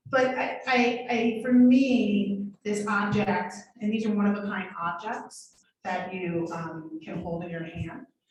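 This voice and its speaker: There is audible room echo around a woman's voice. She has an American accent and ordinary pitch variation. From New York City, Harlem. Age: 40s. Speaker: artist and photography professor. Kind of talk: artist talk. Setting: gallery with live audience, also streamed.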